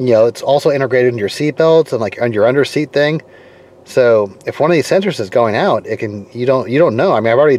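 In a dry sound with no echo, a man talks at a very fast pace. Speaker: car owner reviewing a tool. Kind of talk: casual vlog chat. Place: car. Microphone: phone near.

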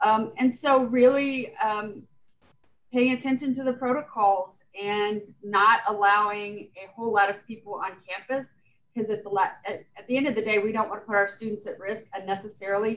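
A woman with a normal speaking voice talks at a moderate pace and a fairly high pitch, her intonation fairly even but her loudness swinging widely. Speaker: college president. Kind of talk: formal meeting. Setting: video call. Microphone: video call.

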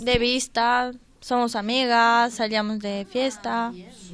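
A woman with a bright, sharp tone and fairly high pitch speaks in a monotone, flat intonation over light background noise. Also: dry sound with no echo. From Romania. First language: Romanian (speaking Spanish). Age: young. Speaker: workshop participant. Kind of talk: radio interview. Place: studio.

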